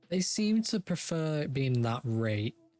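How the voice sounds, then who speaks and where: The voice has lively intonation and a British accent. The sound is dry and close, with no echo. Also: man. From Britain. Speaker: gaming YouTuber. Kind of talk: let's play gameplay commentary. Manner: casual, thinking aloud.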